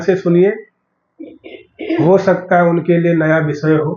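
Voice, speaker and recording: A man speaks very slowly in a high voice, with fairly even intonation. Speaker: religious lecturer. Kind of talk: sermon.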